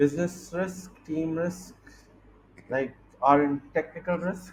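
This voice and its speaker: A high-pitched man with an American accent, fairly even intonation and a very slow pace. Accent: between Indian and American. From India and US. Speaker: venture capitalist, podcast co-host. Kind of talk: casual business chat.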